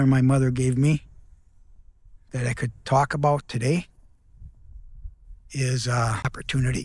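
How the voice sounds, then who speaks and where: Speaking at a fairly slow pace with an American accent, a man talks in a medium pitch that is somewhat breathy. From US Midwest, Minneapolis-St. Paul. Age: 70s. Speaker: entrepreneur and mentor. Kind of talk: personal reflection vlog. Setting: outdoors. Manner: conversational.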